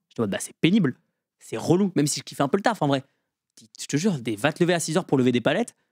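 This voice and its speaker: A man at a very fast pace and fairly high pitch, lively in intonation, in a dry, close sound with no echo. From rural France. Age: 20s. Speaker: stand-up comedian and student. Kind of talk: casual podcast interview. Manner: animated.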